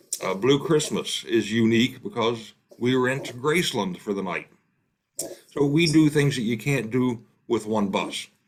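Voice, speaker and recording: A man with an Appalachian accent, fairly slow in pace, with ordinary pitch variation. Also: medium pitch for a man. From West Virginia, Appalachia. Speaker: tour company operator. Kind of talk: casual presentation.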